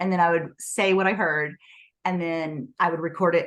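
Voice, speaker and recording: A woman's medium-pitched voice at a very fast pace. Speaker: author. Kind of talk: interview.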